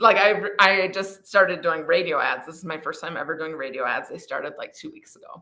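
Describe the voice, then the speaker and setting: A woman speaks at a moderate pace. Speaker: social media influencer. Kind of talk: casual chat. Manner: animated.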